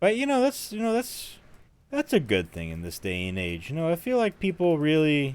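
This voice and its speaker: Moderate pace from a man, on a very clean recording with a silent background. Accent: American. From US South. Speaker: gaming streamer. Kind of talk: casual live-stream chat while gaming. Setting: live stream.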